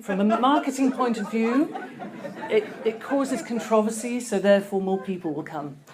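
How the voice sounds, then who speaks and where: Soft-spoken and fairly high-pitched, a woman talks at a moderate pace with lively intonation, against noticeable background noise and audible room echo. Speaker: conference speaker. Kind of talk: presentation talk. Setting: stage with audience. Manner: hesitant.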